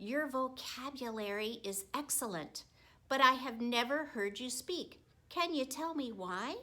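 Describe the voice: A woman puts on a character voice that is high-pitched, bright and sharp. She talks at a fairly slow pace with lively intonation.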